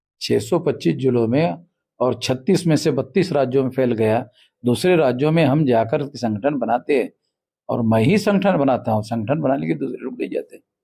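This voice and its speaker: A man with a dark, mellow tone and vocal fry speaks at medium pitch and a moderate pace, with lively intonation. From Maharashtra, India. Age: 60s. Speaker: national organisation leader. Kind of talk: interview. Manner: forceful, combative.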